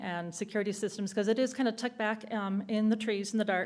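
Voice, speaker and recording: Intonation is monotone and flat from this woman. She moves at a fairly quick pace. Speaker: city staff presenting a project. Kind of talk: public meeting presentation. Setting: city council meeting. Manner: fast; hesitant with many fillers.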